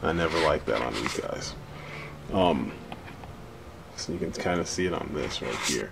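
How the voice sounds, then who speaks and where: A soft-spoken man with a very deep, low pitch talks at a moderate pace with ordinary pitch variation and long, frequent pauses. Audible room echo and noticeable background noise fill the recording. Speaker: action figure reviewer. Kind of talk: product review. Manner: soft-spoken, speaking low.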